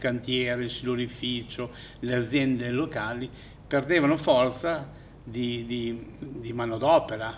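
Fairly slow delivery in audible room echo. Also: man. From Fiume (Rijeka), raised in Italy: Aversa camp then Bologna. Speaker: exile witness. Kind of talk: testimony. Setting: theatre. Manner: halting.

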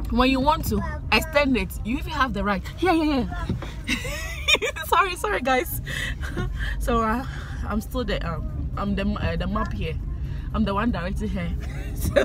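Over clear music in the background, a woman speaks at a moderate pace with long, frequent pauses, in a dry sound with no echo. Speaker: vlogger. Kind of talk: casual vlog chat. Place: car. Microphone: phone near.

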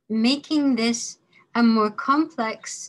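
Somewhat breathy, a woman speaks with ordinary pitch variation. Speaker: course instructor. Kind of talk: lecture. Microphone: webcam.

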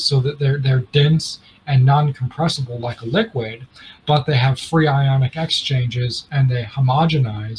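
A somewhat breathy man's voice at a moderate pace, with ordinary pitch variation and light background noise. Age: 20s. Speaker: inventor and heater company founder; podcast host or guest. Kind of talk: interview. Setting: video call. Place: home room. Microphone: studio mic.

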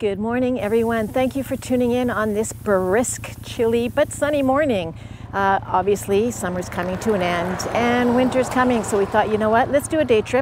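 A woman talks at a moderate pace with hardly any pauses. The sound is dry with no echo, and there is noticeable background noise. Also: ordinary pitch variation. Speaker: vlogger. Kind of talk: casual vlog chat. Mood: cheerful, upbeat. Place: forest. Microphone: lapel.

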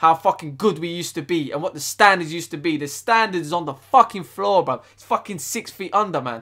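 A man's voice comes through. Nothing stirs behind him. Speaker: football fan youtuber. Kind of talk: furious profane football rant, shouting and swearing at the team and manager. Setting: solo video to camera. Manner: loud, angry, ranting, packed with swearing and slang. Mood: angry and frustrated. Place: home room. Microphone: webcam.

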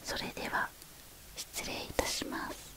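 Soft-spoken whispering, dry with no echo, over noticeable background noise. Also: fairly slow pace. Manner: soft ASMR salon whisper. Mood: polite, gentle farewell.

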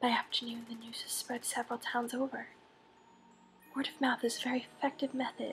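A woman whispers in a calm, soothing tone with music in the background. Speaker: ASMR creator. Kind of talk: audiobook-style reading of a novel excerpt. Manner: whispered, calm, soothing.

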